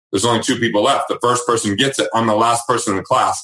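Here a man talks with an American accent. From Utah, small coal mining town. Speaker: wealth management founder and author. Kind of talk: interview. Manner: animated.

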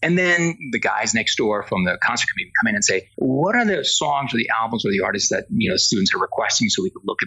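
Very fast speech over noticeable background noise. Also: man. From Spain. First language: Spanish. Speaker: entertainment industry executive. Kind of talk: interview.

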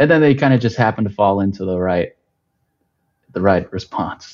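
A man with an American accent speaks at a fairly low pitch. His pace is moderate. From Texas. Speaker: political strategist, former independent candidate. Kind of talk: casual political discussion. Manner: halting, with repetitions and fillers.

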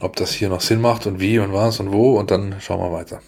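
A man's fairly low, monotone, flat voice at a moderate pace, with noticeable background noise. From Baden-Württemberg, near Stuttgart. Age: 40s. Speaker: sports journalist. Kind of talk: casual chat.

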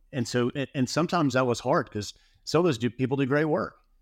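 A man with a Southern US accent and ordinary pitch variation, on a very clean recording with a silent background and a dry, close sound with no echo. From Alabama. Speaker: custom home builder. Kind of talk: casual interview.

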